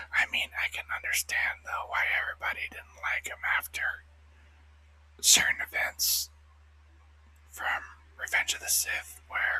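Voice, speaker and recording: Whispering comes at a fairly slow pace. Long pauses break it up often. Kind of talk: ASMR casual talk to camera. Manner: whispered.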